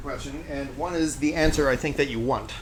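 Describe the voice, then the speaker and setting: A man speaks over noticeable background noise in a room with audible echo. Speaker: streamer's friend. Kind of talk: casual chat. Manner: loud, projected stage voice. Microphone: far from mic, in kitchen.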